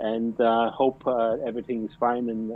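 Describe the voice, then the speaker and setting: A man with a German accent, flat and monotone, at a moderate pace. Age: 40s. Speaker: plumber. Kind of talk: casual interview. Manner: halting.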